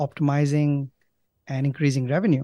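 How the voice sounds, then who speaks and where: In a very clean recording with a silent background and a dry, close sound with no echo, a man with an Indian accent speaks in a dark, mellow tone at a fairly high pitch with monotone, flat intonation. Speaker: company co-founder. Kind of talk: casual interview. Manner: hesitant, filler words.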